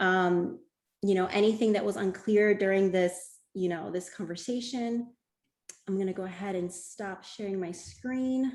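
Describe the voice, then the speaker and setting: A woman speaks at a fairly slow pace in a medium pitch, her pitch rising and falling in an ordinary way, with music playing behind her. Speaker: webinar presenter on college planning. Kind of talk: webinar presentation.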